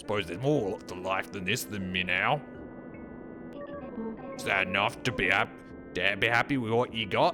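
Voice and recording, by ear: Clear music plays in the background. A man uses a fairly low, put-on character voice at a moderate pace.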